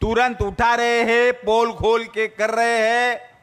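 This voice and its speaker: A man speaks at an extremely high pitch with monotone, flat intonation. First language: Marathi (speaking Hindi). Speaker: politician. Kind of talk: political speech.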